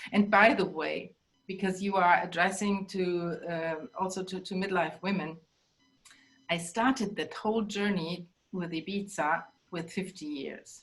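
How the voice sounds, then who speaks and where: Speaking with a German accent, a woman keeps a fairly slow pace. Her intonation stays fairly even. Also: medium pitch for a woman. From Germany. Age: 60s. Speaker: life coach and bodyworker. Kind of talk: interview.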